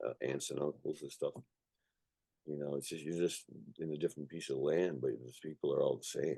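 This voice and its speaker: A man talks at a fairly quick pace yet leaves long, frequent pauses. The sound is dry and close, with no echo. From Canada, raised in an Irish family (came from Ireland at age one). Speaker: punk musician. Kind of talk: casual interview. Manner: casual, repetitive fillers and swearing.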